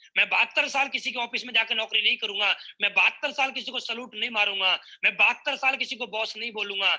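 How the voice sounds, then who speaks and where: A man talks at a moderate pace in a raised, projected voice that sits extremely high in pitch. His tone is bright and sharp, and his intonation stays fairly even. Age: 20s. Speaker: network marketing speaker. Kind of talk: motivational speech.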